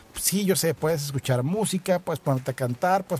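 A man with a Mexican accent at a very fast pace, dark, mellow tone, somewhat breathy, with ordinary pitch variation. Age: 30s. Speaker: podcast host and insurance agent. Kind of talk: casual monologue. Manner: animated, conversational.

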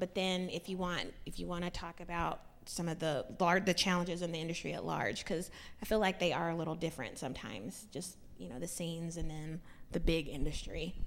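A woman's fairly low voice with vocal fry, a fairly quick pace and fairly even intonation. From Nashville, Tennessee. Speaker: singer-songwriter, panel moderator. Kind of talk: panel moderation. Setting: stage with audience.

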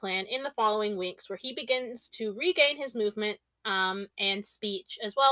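An unforced reading voice carries ordinary pitch variation. The background is quiet.

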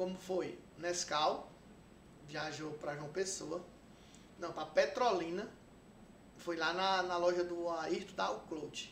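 In audible room echo, the speech goes at a very slow pace with long, frequent pauses and fairly even intonation. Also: man, high pitch for a man. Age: 40s. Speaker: videomaker. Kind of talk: casual interview chat.

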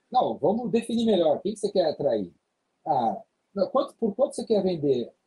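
A man's voice with a dark, mellow tone swings very widely in pitch, recorded with a dry, close sound and no echo. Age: 50s. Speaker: sales trainer. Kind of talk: podcast interview.

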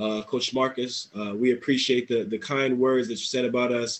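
With an American accent, a man talks at a moderate pace in a monotone, flat intonation. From New Jersey. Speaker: import football player. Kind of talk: casual interview.

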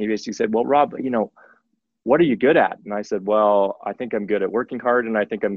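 Using ordinary pitch variation, a man with a medium pitch talks at a fairly quick pace. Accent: Western Canadian. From Canadian Prairies, Saskatoon. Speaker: tech company executive. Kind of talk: interview.

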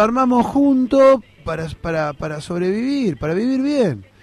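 A man's extremely high-pitched voice with very wide pitch swings, a fairly slow pace and noticeable background noise. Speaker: political activist. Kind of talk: interview.

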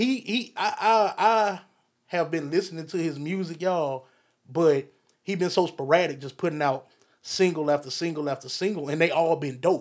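A man speaks at a moderate pace in a high pitch, with ordinary pitch variation. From Alabama, Phenix City. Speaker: podcast host. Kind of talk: casual solo commentary. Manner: casual, laid-back.

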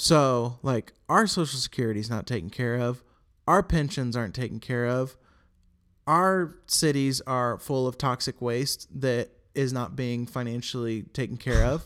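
Speaking with an American accent, a man talks at a moderate pace and a medium pitch. His pitch variation is ordinary, and the recording is very clean with a silent background. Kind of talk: casual political commentary podcast. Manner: passionate, indignant.

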